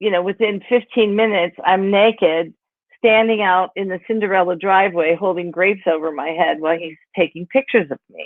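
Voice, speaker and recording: An unremarkable speaking voice with an American accent moves at a fairly quick pace with ordinary pitch variation. Its loudness swings widely. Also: woman, medium pitch for a woman. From western Pennsylvania, Pittsburgh area. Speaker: author. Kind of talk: interview about her memoir. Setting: virtual event, video call. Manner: casual, many fillers.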